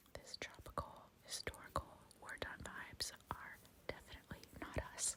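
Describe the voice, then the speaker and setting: Whispering at a moderate pace, a woman with an American accent keeps a calm tone. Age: 30s. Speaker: ASMR YouTuber, mother. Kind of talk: whispered ASMR travel vlog voiceover. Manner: whispered, soft, calm.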